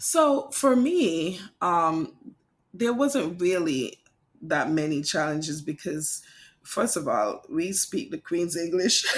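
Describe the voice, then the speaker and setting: In a Kittitian accent, a woman speaks at a very slow pace with a fairly low pitch and very wide pitch swings, on a very clean recording with a silent background. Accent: Caribbean (St. Kitts). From St. Kitts and St. Thomas, Caribbean. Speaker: English teacher and author. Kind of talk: podcast interview.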